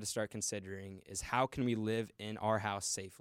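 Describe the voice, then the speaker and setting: A man with a plain, everyday voice, fairly low in pitch, with an American accent and fairly even intonation, in a very clean, dry, close recording with a silent background and no echo. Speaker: college student. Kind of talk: casual chat.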